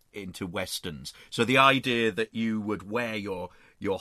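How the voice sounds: The speaker uses a natural reading voice. Pitch moves an ordinary amount.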